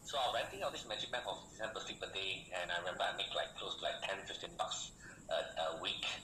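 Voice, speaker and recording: Speaking at a very fast pace, a man is heard with audible room echo and noticeable background noise. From Malaysia. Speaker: online business coach. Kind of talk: sales pitch. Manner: animated.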